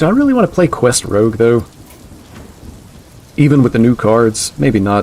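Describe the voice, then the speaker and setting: A man at medium pitch speaks with a slight southeastern US accent, at a moderate pace and very even loudness. Long, frequent pauses break up his speech, and there is noticeable background noise. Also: lively intonation. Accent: slight southeastern US twang. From US Southeast. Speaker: video game streamer. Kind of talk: live stream commentary. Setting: live stream. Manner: casual, conversational.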